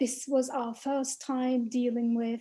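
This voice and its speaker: A woman speaks in a high voice. Her tone is dark and mellow. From not American. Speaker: arts project co-founder. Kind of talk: panel discussion.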